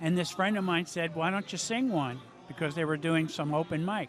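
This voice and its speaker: Over music in the background, a man speaks at a moderate pace with a high pitch. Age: 60s. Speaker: amateur singer and guitarist. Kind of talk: casual interview. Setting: restaurant during live music event.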